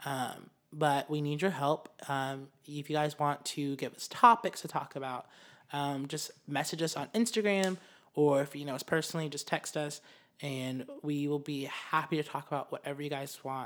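This man has an ordinary speaking voice, pitched fairly high, with ordinary pitch variation at a moderate pace. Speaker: podcast co-host. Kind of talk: casual chat.

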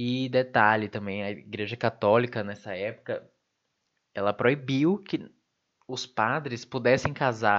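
A man speaks at a fairly slow pace in a medium pitch with ordinary pitch variation and an ordinary speaking voice. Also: quiet background. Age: 20s. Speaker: podcast host, university student. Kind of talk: solo podcast monologue. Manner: casual, laughing asides.

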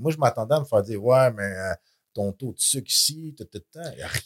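Speaking with a Quebec accent, a man with a medium pitch sounds somewhat breathy and has lively intonation, captured in a dry, close sound with no echo on a very clean recording with a silent background. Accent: Québécois French. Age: 40s. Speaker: fitness influencer. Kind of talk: casual interview.

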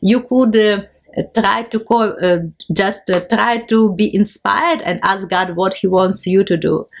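A woman with a Ukrainian accent, fairly slow pace and very even loudness. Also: medium pitch for a woman, ordinary pitch variation. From Ukraine. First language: Ukrainian or Russian. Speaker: missionary and art festival organizer. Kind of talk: interview testimony. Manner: halting.

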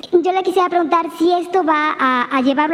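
A woman's speech, moderate in pace and ordinary in pitch variation, sits over noticeable background noise. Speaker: journalist. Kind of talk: press conference question.

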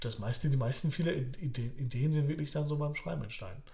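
In a room with audible echo, a man speaks at a medium pitch, his tone dark and mellow and somewhat breathy. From Poland, Upper Silesia (moved to Germany around age 10). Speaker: author and teacher, podcast co-host. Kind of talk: casual chat. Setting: studio-like home recording, sitting opposite co-host.

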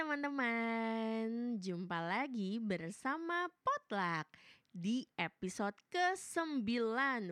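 Barely pausing, a woman with a fairly high pitch speaks in an animated tone, her pitch swinging very widely in a dry, close recording with no echo. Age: young. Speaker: podcast host. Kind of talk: casual interview chat.

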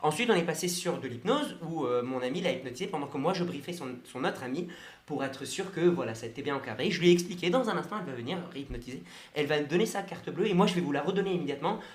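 A man's fairly high voice at a very fast pace, with audible room echo and noticeable background noise. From Brest, Brittany, France. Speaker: mentalist and hypnotist. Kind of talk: radio interview.

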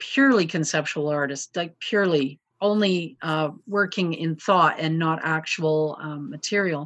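Against a quiet background, a woman with a Canadian prairie accent speaks at a fairly low pitch. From Canadian prairies. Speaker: glass sculptor. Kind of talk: casual chat.

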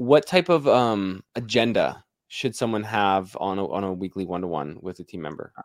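A man's normal speaking voice, fairly low in pitch with ordinary pitch variation and big swings in loudness, at a moderate pace in a dry, close recording with no echo. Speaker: podcast host, painting business founder. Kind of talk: casual interview chat.

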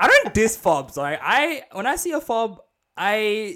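A man's raised, projected voice, high in pitch, with an Australian accent. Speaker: podcast host. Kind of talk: casual chat.

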